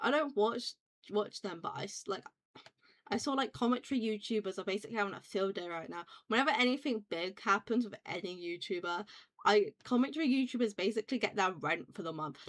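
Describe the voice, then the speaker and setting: In a British accent, a woman with a fairly high voice talks at a fairly quick pace with lively intonation, the sound dry and close with no echo. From UK. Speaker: vtuber streamer. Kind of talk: casual chat. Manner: rambling, fast with many fillers.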